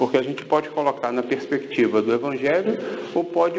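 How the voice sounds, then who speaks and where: Audible room echo and noticeable background noise surround a man speaking at a fairly high pitch with a Brazilian accent. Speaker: spiritist lecturer. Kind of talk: lecture.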